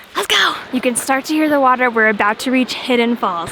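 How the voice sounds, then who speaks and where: Music plays in the background. A woman whispers in an American accent. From US, Florida. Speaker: travel vlogger. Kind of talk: casual travel vlog commentary. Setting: outdoors on a hiking trail. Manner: whispering because of crowds.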